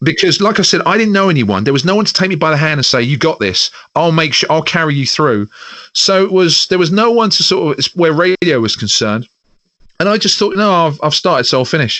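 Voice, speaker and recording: This man talks at a very fast pace in a London accent, his pitch high and his intonation lively. His loudness stays very even throughout. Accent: Southern English (London). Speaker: radio presenter. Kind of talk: casual interview chat.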